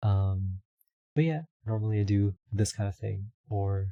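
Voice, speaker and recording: A man mumbles quietly at a very slow pace, his fairly low voice somewhat breathy with a dark, mellow tone. The sound is dry and close, with no echo. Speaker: streamer and VTuber rigging artist. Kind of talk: casual livestream chat. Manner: mumbling.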